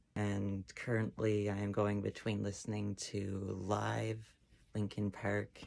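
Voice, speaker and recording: Music plays in the background as a man speaks very slowly. His fairly low voice stays flat and monotone. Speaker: transmasculine person documenting voice changes on testosterone. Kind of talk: casual talk to camera.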